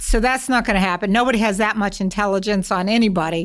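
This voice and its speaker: A woman with an American accent and an unremarkable speaking voice talks at a fairly quick pace and medium pitch. Her intonation is fairly even, on a very clean recording with a silent background. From Massachusetts. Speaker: corporate security executive, former FBI agent. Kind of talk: interview.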